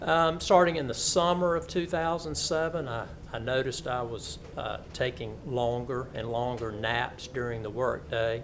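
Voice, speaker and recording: A man of medium pitch in a Southern US accent, with lively intonation and audible room echo. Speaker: lawyer and cancer patient. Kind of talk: testimony. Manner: halting.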